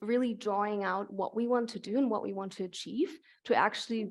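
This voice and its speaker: With a German accent, a woman speaks at a fairly high pitch and a moderate pace, with ordinary pitch variation over a quiet background. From Germany. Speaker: climate researcher. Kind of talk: Q&A interview at public lecture.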